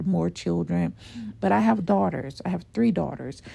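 A woman with a dark, mellow tone speaks at a moderate pace with lively intonation. The recording is very clean, with a silent background. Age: 30s. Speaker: solo podcaster. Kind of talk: casual monologue. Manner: halting.

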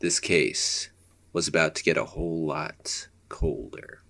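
A man uses a put-on character voice that is gravelly. He speaks at a fairly slow pace. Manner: hard-boiled, noir narration.

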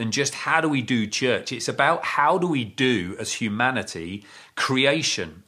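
Against a quiet background, a man speaks slowly-ish in a medium pitch with a bright, sharp tone, vocal fry and lively intonation. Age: 50s. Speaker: pastor. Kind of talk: sermon.

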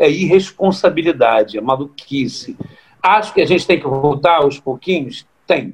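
Over music in the background, a man with a fairly high pitch speaks at a moderate pace with lively intonation and very even loudness. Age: 50s. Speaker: samba composer. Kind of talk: casual chat.

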